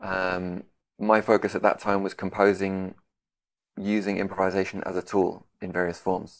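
A man speaks in a London accent at a moderate pace. His very deep, low voice stays monotone and flat. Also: very clean recording, silent background. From London, England. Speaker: composer and guitarist. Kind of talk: interview conversation.

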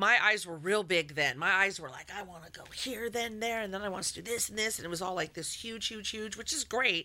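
Noticeable background noise runs under a woman's medium-pitched voice as she talks at a fairly quick pace with hardly any pauses. Her loudness swings widely while her pitch varies in an ordinary way. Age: 50s. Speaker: radio host. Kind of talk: casual chat.

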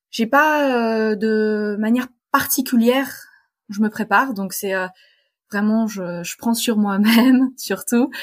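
A woman with a fairly high, somewhat breathy voice speaks at a very slow pace, with ordinary pitch variation and long, frequent pauses. The recording is very clean, with a silent background. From Poland (French-Polish family). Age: 20s. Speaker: sailor and physics PhD student. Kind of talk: interview.

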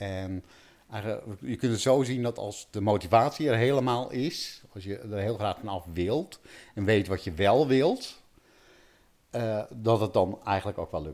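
A man speaks at a fairly slow pace, with a fairly low pitch and ordinary pitch variation. He leaves long, frequent pauses. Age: 50s. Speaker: pain relief coach. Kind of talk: interview. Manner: halting.

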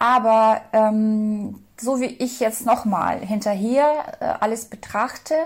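A woman with a fairly high, somewhat breathy voice talks with fairly even intonation. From former Soviet Union. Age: 40s. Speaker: interviewee. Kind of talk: interview. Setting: Skype call. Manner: hesitant, many fillers.

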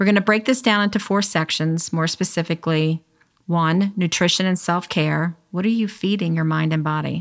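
A woman with an unremarkable speaking voice talks at a moderate pace, her pitch fairly low, on a very clean recording with a silent background. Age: 50s. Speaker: podcast host and life coach. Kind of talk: casual chat; scripted intro.

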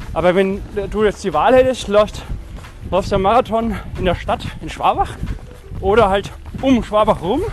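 Moderate pace, long and frequent pauses, ordinary pitch variation, and noticeable background noise. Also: man, high pitch for a man. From Franconia, Germany. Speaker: running podcast host. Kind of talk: casual chat. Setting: outdoors, walking.

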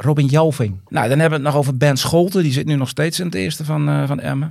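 This man's voice sits at a fairly high pitch and moves at a fairly quick pace. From Groningen province, Netherlands. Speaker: footballer's father. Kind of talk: casual interview. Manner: halting, many repetitions.

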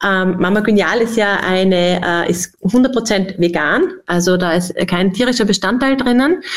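A woman talks in a medium pitch with ordinary pitch variation. She has a normal speaking voice. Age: 40s. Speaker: company executive. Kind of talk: podcast interview.

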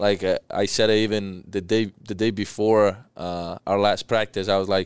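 Recorded very cleanly with a silent background, a man speaks at a fairly low pitch in a clear, smooth tone with little pitch movement. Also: moderate pace.

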